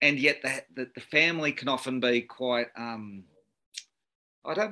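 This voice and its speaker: Bright, sharp tone with an Australian accent, ordinary pitch variation, a moderate pace and a quiet background. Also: man. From Australia, Sydney. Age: 40s. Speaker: cleaning business owner. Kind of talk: panel discussion.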